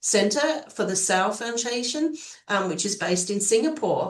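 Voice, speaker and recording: The talking keeps a moderate pace while noticeable noise fills the background. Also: woman. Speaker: panel moderator. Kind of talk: webinar moderation.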